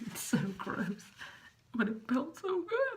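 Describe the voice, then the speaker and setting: Noticeable background noise behind a woman with an American accent, her pace fairly slow. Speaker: vlogger. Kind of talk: product test vlog. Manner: casual, chatty.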